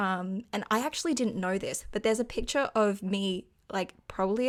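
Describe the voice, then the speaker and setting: In a very clean recording with a silent background, a woman with an Australian accent talks at a moderate pace and medium pitch, with ordinary pitch variation. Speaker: podcast co-host. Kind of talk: casual chat.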